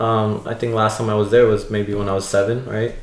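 Over noticeable background noise, a man talks with a New Jersey accent. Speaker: religious brother. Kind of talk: casual chat.

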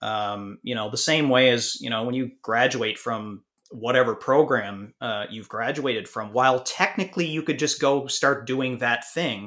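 A man's medium-pitched voice has a bright, sharp tone and ordinary pitch variation. The recording is very clean, with a silent background. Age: 40s. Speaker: podcast host and fitness coach. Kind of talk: interview podcast.

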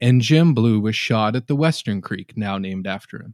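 With an American accent and an ordinary speaking voice, a man talks at a fairly slow pace with ordinary pitch variation. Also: dry, close sound with no echo, very clean recording, silent background. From Norman, Oklahoma. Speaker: paranormal podcast host. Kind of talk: reading aloud.

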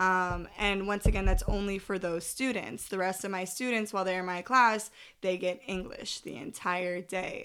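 A woman with an American accent and an unremarkable speaking voice, medium pitch, moderate pace, in a very clean recording with a silent background. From US, area with many Spanish speakers. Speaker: elementary school teacher. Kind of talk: casual chat.

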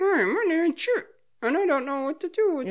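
Using a put-on character voice, a woman speaks at an extremely high pitch. Her pace is fairly quick. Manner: rigid-lipped, comical.

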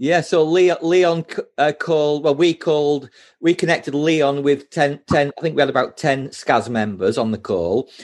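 A man with an unremarkable speaking voice talks at a moderate pace and a fairly high pitch with ordinary variation. His loudness is very even, against a quiet background. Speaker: group founder and admin. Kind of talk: casual group video chat. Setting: video call.

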